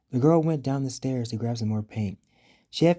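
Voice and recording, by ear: The speaker is reading aloud in a natural voice. That is the whole of the delivery.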